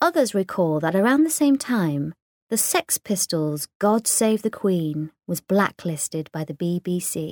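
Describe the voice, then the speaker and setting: The sound is dry and close, with no echo, as a woman speaks at medium pitch. She talks at a fairly slow pace with very wide pitch swings. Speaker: poetry reader. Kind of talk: poem reading. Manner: measured, lyrical, rhythmic.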